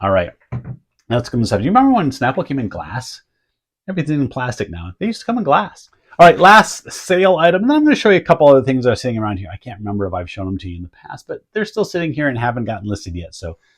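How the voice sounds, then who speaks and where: Somewhat breathy and at a medium pitch, a man's voice makes very wide pitch swings and big swings in loudness. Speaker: eBay reseller. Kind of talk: casual vlog talk. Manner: conversational, filler-heavy.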